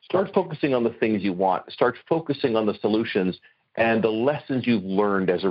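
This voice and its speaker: With an ordinary speaking voice, a man talks at a fairly quick pace in a medium pitch, his intonation lively. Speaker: radio host.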